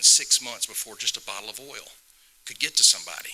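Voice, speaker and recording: A man with a Southern US accent talks at a very fast pace. Background noise is noticeable. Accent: Southern US (Georgia). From US South. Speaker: state legislator. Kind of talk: public talk.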